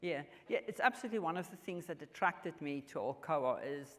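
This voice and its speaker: A woman speaks at a moderate pace. She has a strong South African accent. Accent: strong South African Afrikaans. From South Africa, rural farm. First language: Afrikaans. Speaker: mining company executive. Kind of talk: onstage interview. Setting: stage at business luncheon with audience. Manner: halting, with many fillers.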